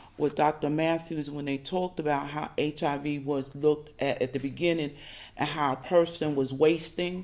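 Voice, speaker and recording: With an American accent, a woman speaks in a very deep, low pitch. Her intonation is monotone and flat. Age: 60s. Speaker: social worker and HIV advocate. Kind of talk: panel testimony. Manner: hesitant, frequent fillers.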